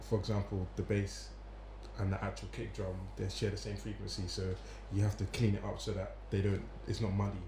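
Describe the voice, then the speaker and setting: A man speaks at a fairly quick pace, with long, frequent pauses. Audible room echo surrounds his voice. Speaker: musician. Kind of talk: casual chat.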